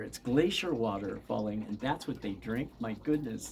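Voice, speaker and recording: The speech moves at a moderate pace with ordinary pitch variation, over noticeable background noise. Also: man. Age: 70s. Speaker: yoga teacher and spiritual teacher. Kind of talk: casual monologue to viewers.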